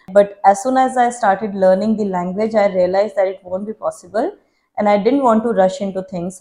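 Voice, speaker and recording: Speaking with an Indian accent, a woman has a medium pitch and a dark, mellow tone. She moves at a fairly quick pace with fairly even intonation. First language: Hindi. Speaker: YouTuber. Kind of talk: Q&A vlog.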